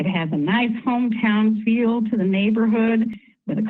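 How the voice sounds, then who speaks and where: Somewhat breathy and fairly high-pitched, a woman speaks at a fairly slow pace with fairly even intonation. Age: 70s. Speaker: resident giving public comment. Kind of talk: prepared public comment.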